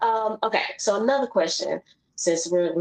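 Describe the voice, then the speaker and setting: A woman speaks with a Southern accent. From US South, Memphis. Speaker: podcast host. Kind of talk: casual chat. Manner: animated.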